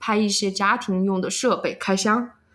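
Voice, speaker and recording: A woman's fairly even intonation plays out with music in the background. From Chengdu, Sichuan. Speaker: vlogger. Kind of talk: interview.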